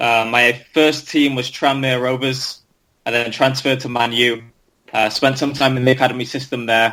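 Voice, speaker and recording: A man with a Lancashire accent speaks at a moderate pace in a flat, monotone way. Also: medium pitch for a man. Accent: Preston accent similar to the other guest. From North Wales. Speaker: ex-professional footballer. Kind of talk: interview. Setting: podcast.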